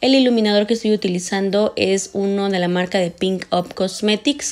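Speaking at a moderate pace, a woman uses ordinary pitch variation. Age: 30s. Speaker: beauty vlogger. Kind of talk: makeup tutorial voiceover. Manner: warm, chatty. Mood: calm, friendly.

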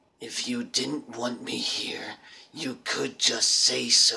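A man speaks very slowly in a raspy, put-on character voice. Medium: solo performance. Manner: defensive, resentful.

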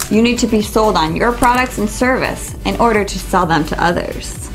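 Music plays clearly behind the speech. The woman keeps a moderate pace. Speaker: book reviewer. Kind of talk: book review monologue. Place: shop. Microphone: lapel.

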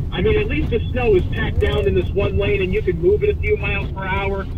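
Noticeable background noise sits under a man's voice, which has a dry sound with no echo. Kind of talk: live commentary. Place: car. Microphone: phone near.

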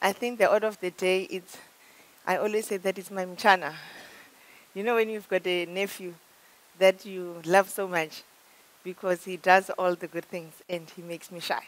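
Loudness swings widely as a woman speaks at a moderate pace, leaving long, frequent pauses. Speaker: corporate executive. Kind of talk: motivational presentation. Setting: conference room with audience. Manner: animated. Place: hall.

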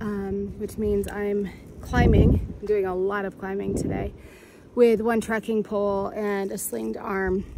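The woman talks at a fairly slow pace. The sound is dry with no echo, but background noise is noticeable. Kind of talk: casual vlog chat. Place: forest. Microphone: phone near.

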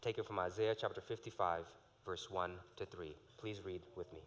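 A man is speaking. His pace is moderate. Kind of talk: prayer and call to worship. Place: church.

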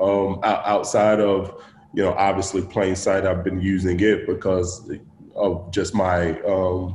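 A man with a low voice and a Southern US accent speaks at a fairly slow pace. His tone is slightly mellow, and the room echo is audible. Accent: Southern American.

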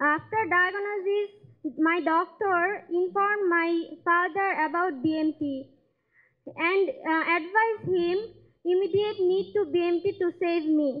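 A woman speaks in an extremely high voice with ordinary pitch variation and very even loudness. The background is quiet. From Bangladesh. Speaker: patient. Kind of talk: speech. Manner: halting. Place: hall. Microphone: pa.

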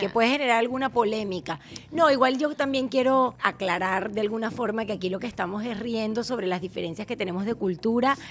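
A woman with an unremarkable speaking voice talks at a fairly quick pace with hardly any pauses, her fairly high pitch showing ordinary variation over light background noise. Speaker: podcast host. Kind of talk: casual podcast conversation. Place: home room. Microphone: studio mic.

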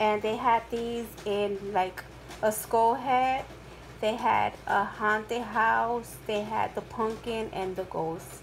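Speaking at a slow pace, a woman with a fairly high pitch uses fairly even intonation and vocal fry.

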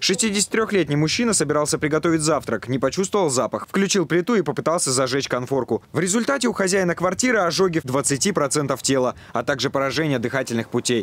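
Delivered at a fairly quick pace with lively intonation and hardly any pauses, this is a normal speaking voice. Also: man, fairly high pitch for a man, very even loudness. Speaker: TV news reporter. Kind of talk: news reporting. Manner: formal.

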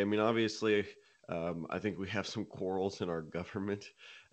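In a normal speaking voice, a man with an American accent talks at a fairly quick pace and fairly low pitch against a quiet background. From Nashville, Tennessee, US South; Tennessee. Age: 20s. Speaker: country singer-songwriter; guest. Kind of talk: interview. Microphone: studio mic.

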